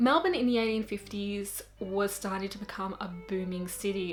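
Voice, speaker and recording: A woman's animated tone at a moderate pace and medium pitch, with ordinary pitch variation and noticeable background noise. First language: not English. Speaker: booktuber. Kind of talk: casual show-and-tell vlog. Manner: animated, chatty.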